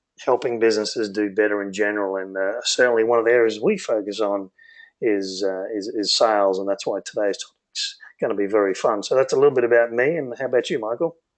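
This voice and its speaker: A man talks at a very fast pace with an Australian accent. His pitch is fairly low, with ordinary variation. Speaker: business consultant, co-founder. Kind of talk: webinar presentation.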